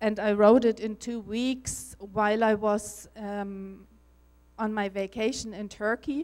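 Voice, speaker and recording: Very slow in pace, a woman talks with a German accent and a fairly high pitch. Her intonation stays monotone and flat. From Germany. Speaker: spiritual speaker and author. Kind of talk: conference talk. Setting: stage with audience. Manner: halting.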